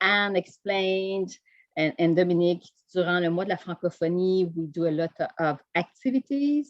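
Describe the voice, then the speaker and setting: Speaking at a fairly slow pace, a woman with a Quebec French accent uses a fairly low pitch. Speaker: Quebec government delegate. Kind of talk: conference presentation. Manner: halting.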